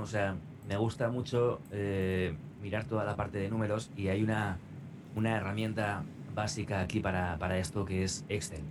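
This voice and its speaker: Audible room echo surrounds a man talking at a moderate pace in a fairly low pitch. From Spain, Navarre (Pamplona). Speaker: radio announcer and trader. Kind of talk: interview.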